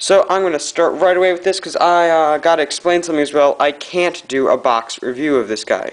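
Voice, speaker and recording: A man with a fairly high pitch, talking at a fairly quick pace. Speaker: toy reviewer. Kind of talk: casual talk to camera, toy review. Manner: hyper, excited rant.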